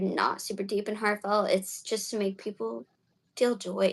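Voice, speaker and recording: At a fairly quick pace, a woman with an American accent talks in an ordinary speaking voice of medium pitch with fairly even intonation. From Florida, Jacksonville. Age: 20s. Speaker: magician and mentalist. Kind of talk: casual chat. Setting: livestream interview.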